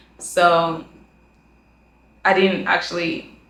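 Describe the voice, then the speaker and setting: A woman with a fairly low pitch and fairly even intonation speaks in a room with audible echo. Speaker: student vlogger. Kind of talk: casual vlog monologue.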